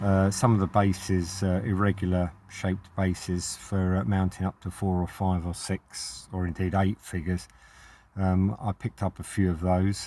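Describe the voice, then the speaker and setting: A man speaks at a moderate pace in a very deep, low pitch with a dark, mellow tone and monotone, flat intonation. The recording is very clean and the background silent. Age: 60s. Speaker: hobbyist vlogger. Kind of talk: casual monologue. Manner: halting, many fillers.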